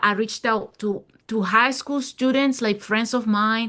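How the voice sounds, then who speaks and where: A woman speaks at a moderate pace with a fairly high pitch and ordinary pitch variation. Her tone is bright and sharp against a quiet background. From Venezuela. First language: Spanish. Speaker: local politician. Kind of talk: interview.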